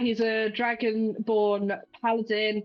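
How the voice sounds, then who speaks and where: A fairly high female voice at a very slow pace, with music in the background. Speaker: tabletop roleplay player. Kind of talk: casual chat.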